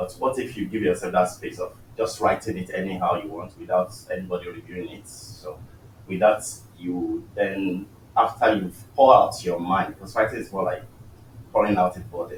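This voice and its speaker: A man's loudness swings widely. Background noise is noticeable. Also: moderate pace. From Nigeria. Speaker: early career researcher, panelist. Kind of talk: panel discussion.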